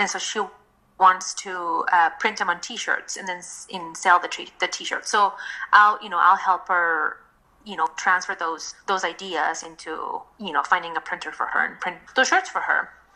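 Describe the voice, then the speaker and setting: A woman speaks with a Spanish accent and fairly even intonation. Her loudness swings a lot. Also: medium pitch for a woman, moderate pace. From Mexico. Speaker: designer and craft fair co-founder. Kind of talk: podcast interview. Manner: halting, many fillers and restarts.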